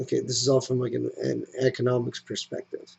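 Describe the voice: A man speaks at medium pitch with a slightly mellow tone. There is a slightly husky edge and some vocal fry.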